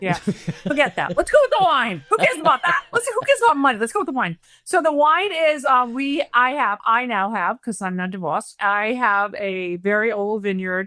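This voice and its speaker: A woman with an East Coast accent, high-pitched, with a bright, sharp tone, very wide pitch swings, a moderate pace and hardly any pauses. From Rhode Island, New England. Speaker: wealth manager and vineyard owner, reality show contestant. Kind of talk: casual chat. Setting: podcast.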